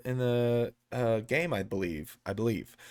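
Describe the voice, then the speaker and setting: A man's animated tone with an American accent and ordinary pitch variation, on a very clean recording with a silent background. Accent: sounds country, by own remark. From Texas. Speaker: sports channel host, football fan. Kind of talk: casual sports commentary monologue. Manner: casual, animated, filler-heavy.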